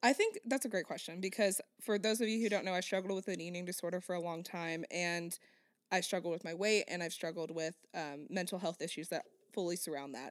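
A plain, everyday voice at a fairly quick pace, with ordinary pitch variation. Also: woman, fairly low pitch for a woman, very clean recording, silent background. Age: 20s. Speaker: podcast co-host. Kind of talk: casual chat.

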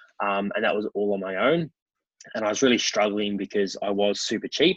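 A man with an Australian accent, fairly low in pitch, fairly even in intonation, in a dry, close sound with no echo. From Melbourne, Australia (western suburbs). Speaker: wedding photographer and venue owner. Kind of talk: casual interview.

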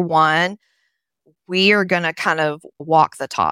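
Very slowly and with fairly even intonation, a woman with a Tennessee accent speaks at a fairly low pitch in a bright, sharp tone, on a very clean recording with a silent background and a dry, close sound with no echo. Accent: Southern US, Tennessee. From Nashville, Tennessee, US South. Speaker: human resources consultant. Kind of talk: interview conversation.

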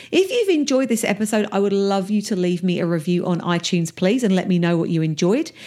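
With an Essex accent, a woman talks in very wide pitch swings. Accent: Essex English, a little rough. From England, Essex. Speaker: podcast host, business coach. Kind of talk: solo podcast monologue. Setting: home office. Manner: casual, chatty.

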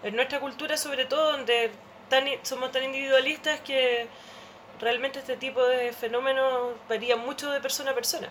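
With a Chilean accent, a woman talks at a moderate pace in a high pitch and a monotone, flat intonation. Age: 40s. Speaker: anthropologist. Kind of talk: casual chat.

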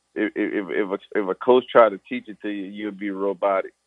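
A man is speaking. He has a Southern Louisiana accent. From US South, Louisiana (Thibodaux). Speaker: pro football player. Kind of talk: interview. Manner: casual, informal.

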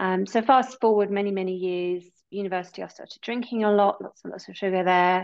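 Delivered at a fairly quick pace with a British accent, the speech keeps a fairly even intonation but shows big swings in loudness. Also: woman, medium pitch for a woman. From UK. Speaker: yoga and wellness teacher. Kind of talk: casual interview chat.

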